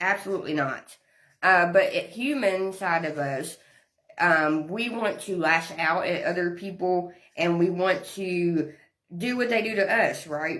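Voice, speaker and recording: A woman with a Southern US accent, medium pitch and fairly slow pace, in audible room echo. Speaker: women's ministry leader. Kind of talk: livestream devotional talk. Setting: live social media stream.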